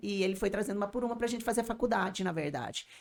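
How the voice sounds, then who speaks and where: The pitch moves in an ordinary way. Overall it is an unremarkable speaking voice. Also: woman. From Colombia, Barranquilla (Caribbean coast). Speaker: business owner and language school owner. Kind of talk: podcast interview.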